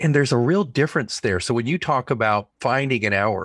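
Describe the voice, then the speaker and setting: An unremarkable speaking voice from a man with an American accent, fairly quick and with ordinary pitch variation, in a very clean recording with a silent background and a dry, close sound with no echo. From Oklahoma. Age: 50s. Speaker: author and editor. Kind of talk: interview conversation.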